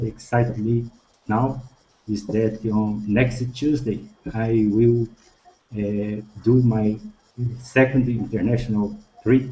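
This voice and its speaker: Speaking at a very slow pace with long, frequent pauses, a man with a Brazilian Portuguese accent has a somewhat breathy, medium-pitched voice with monotone, flat intonation. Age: 50s. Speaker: language student. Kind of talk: class introduction.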